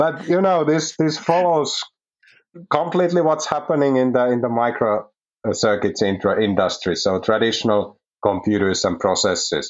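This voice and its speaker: In a Finnish accent, the pitch swings very widely while the loudness stays very even. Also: man, fairly high pitch for a man, moderate pace. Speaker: research manager. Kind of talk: interview.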